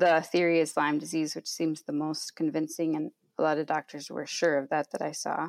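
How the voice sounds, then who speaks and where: The speaker has an Upper Midwest accent and monotone, flat intonation at a fairly quick pace. The sound is dry and close, with no echo. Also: woman. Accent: Upper Midwest American. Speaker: social worker and podcaster. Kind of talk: interview conversation. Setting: at parents' house.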